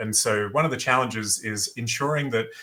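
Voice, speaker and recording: A man's bright, sharp tone with an Australian accent and ordinary pitch variation. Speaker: business founder and former athlete. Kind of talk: podcast interview. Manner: hesitant, many fillers.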